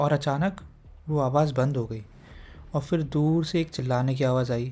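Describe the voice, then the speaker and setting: At a moderate pace, a man speaks in a calm, dark, mellow tone, somewhat breathy and fairly high-pitched, with fairly even intonation, in a very clean recording with a silent background. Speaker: horror story narrator. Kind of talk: horror story narration. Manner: calm, conversational.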